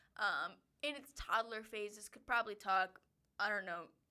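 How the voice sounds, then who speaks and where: A woman with a bright, sharp tone speaks fairly slowly, with lively intonation. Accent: Upper Midwest. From Wisconsin. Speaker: podcast co-host. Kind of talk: casual chat.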